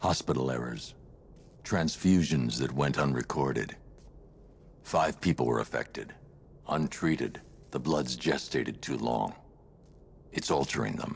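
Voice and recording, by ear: A man uses a put-on character voice with extremely low pitch, vocal fry and ordinary pitch variation, speaking at a slow pace with long, frequent pauses.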